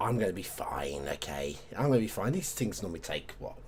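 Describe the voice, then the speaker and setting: A British accent is heard. The speech moves at a moderate pace. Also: man. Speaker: video game streamer. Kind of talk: gameplay commentary. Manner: halting, self-correcting.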